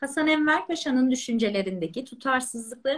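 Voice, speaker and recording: Very wide pitch swings mark this woman's high-pitched voice. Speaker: podcast host. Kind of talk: interview. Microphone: echo on live sound.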